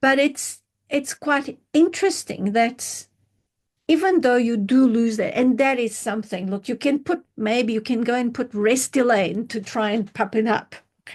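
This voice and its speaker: A woman speaks at a moderate pace with a high pitch. Her pitch varies in an ordinary way. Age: 60s. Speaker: skincare company founder. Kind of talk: interview. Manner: halting.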